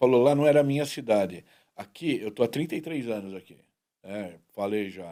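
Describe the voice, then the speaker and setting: A man talks at a moderate pace and medium pitch, his dark, mellow voice showing lively intonation and big swings in loudness. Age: 60s. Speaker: talk show host. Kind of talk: casual interview chat.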